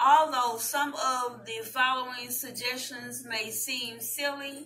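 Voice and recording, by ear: In a Southern US accent, a woman with a fairly high pitch and a bright, sharp tone speaks slowly with fairly even intonation, and audible room echo surrounds her voice.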